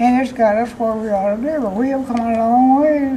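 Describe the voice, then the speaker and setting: Noticeable background noise sits behind a woman whose fairly high pitch carries fairly even intonation. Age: old. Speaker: elderly interviewee, voter. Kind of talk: interview answer.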